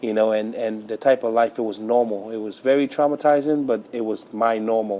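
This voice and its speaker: With a normal speaking voice, a man talks at a fairly quick pace with hardly any pauses, at medium pitch and with fairly even intonation. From Trinidad, raised in Brooklyn, New York. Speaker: pastor. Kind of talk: interview testimony.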